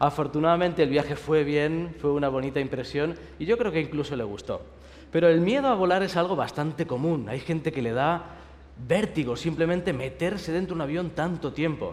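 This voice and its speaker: A man with a Spanish accent talks at a fairly quick pace in a fairly high pitch, with ordinary pitch variation. There is audible room echo. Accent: Spanish (Spain). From Spain. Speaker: pastor. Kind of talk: sermon. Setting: university chapel service with audience.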